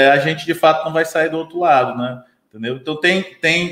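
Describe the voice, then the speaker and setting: The voice carries a Ceará accent with ordinary pitch variation. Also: man. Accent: Brazilian Portuguese, Ceará. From Brazil, Ceará (Sobral). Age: 30s. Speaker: business consultant. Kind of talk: casual interview. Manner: hesitant fillers, frequent né/entendeu.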